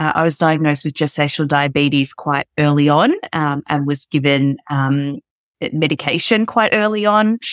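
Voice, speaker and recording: Recorded very cleanly against a silent background, with a dry, close sound and no echo, a woman with a very deep, low pitch speaks at a moderate pace in an Australian accent, showing ordinary pitch variation. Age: 30s. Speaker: podcast guest, mother sharing birth story. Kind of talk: casual interview chat.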